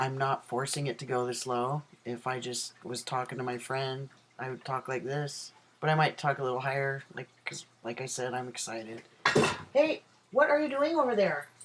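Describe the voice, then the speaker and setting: A man with a medium pitch and fairly even intonation talks at a moderate pace amid noticeable background noise. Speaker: vlogger. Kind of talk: casual chat. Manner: halting.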